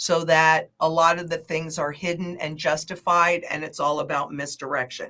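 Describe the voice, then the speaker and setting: A woman's fairly low voice, bright and sharp in tone, monotone and flat, at a moderate pace with hardly any pauses. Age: 60s. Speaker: market analyst. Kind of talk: interview.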